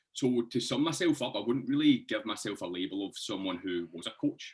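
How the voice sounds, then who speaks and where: The speaker has a Scottish accent. The pace is fairly quick. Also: man. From Scotland, Hamilton near Glasgow. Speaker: fitness coach. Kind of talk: casual podcast interview.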